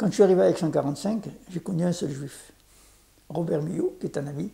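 A dark, mellow tone carries speech at a moderate pace. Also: man. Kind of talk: casual interview recounting life story. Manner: halting, repeats words. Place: home room. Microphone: lapel.

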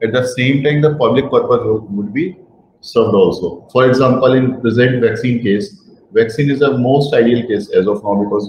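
A man speaks with a somewhat breathy voice. Light background noise and audible room echo are present. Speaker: guest lecturer. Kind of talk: lecture. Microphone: webcam.

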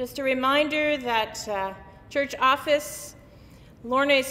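With lively intonation, a woman talks. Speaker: minister giving announcements. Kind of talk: church announcements.

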